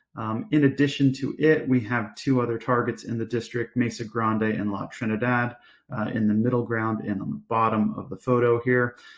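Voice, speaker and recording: With a plain, everyday voice, a man talks at a moderate pace and a medium pitch, with fairly even intonation and hardly any pauses. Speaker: company executive presenting to investors. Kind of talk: investor presentation. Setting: virtual conference live stream.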